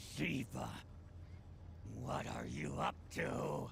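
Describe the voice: A man performs a cartoonish character voice. Clear background noise runs underneath.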